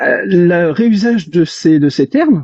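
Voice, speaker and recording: A high-pitched man's voice with lively intonation. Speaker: reverse engineer, self-taught tinkerer. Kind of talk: casual discussion in live audio chat. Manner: fast; hesitant, many fillers.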